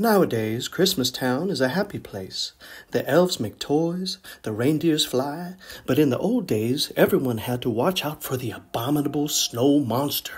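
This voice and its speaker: Over a silent background in a very clean recording, a man with a fairly high, somewhat breathy voice speaks at a moderate pace with lively intonation. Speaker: children's story reader. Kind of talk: read-aloud children's story.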